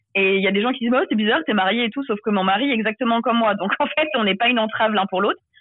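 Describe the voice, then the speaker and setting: Her fairly high voice carries lively intonation as the woman speaks. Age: 20s. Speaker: author and social media creator. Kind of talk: interview.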